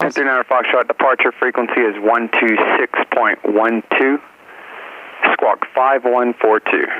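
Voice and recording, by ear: A man with a medium pitch talks at a fairly slow pace with fairly even intonation, in a dry, close sound with no echo.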